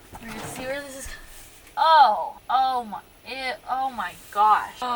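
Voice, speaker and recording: Her pitch is high and swings very widely, with big jumps in loudness and an animated tone. The woman speaks at a fairly slow pace against noticeable background noise. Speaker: van life vlogger. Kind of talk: casual vlog.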